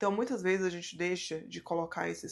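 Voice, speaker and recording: Against a quiet background, a woman with a fairly low voice talks at a fairly quick pace with ordinary pitch variation. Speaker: YouTuber on mindset and personal finance. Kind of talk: personal vlog talk to camera.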